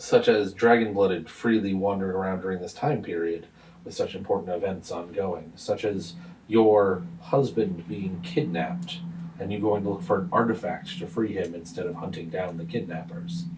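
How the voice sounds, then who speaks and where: Using a put-on character voice, a man booms at a fairly low pitch and a moderate pace. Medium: actual play. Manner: blunt, formal, hearty.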